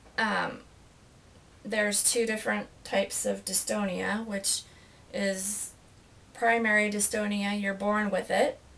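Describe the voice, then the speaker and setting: A woman speaks at a fairly slow pace with monotone, flat intonation and long, frequent pauses. Noticeable background noise runs underneath. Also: medium pitch for a woman. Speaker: stroke survivor. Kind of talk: interview. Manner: halting.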